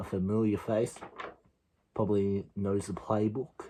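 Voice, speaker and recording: This man, with an Australian accent, talks quietly and fairly slowly in a fairly low pitch with a dark, mellow tone. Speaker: sports video creator. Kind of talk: casual vlog commentary.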